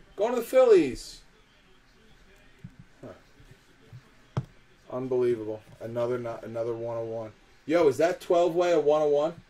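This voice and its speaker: A man speaks at medium pitch and a moderate pace, his intonation lively. He leaves long, frequent pauses. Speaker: card break host. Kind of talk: live card break stream. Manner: animated.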